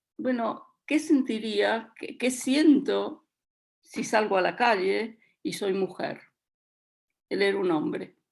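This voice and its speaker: Using a very slow pace with long, frequent pauses, a woman speaks in a fairly high voice with vocal fry. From Latin America. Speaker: children's book author. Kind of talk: radio panel discussion.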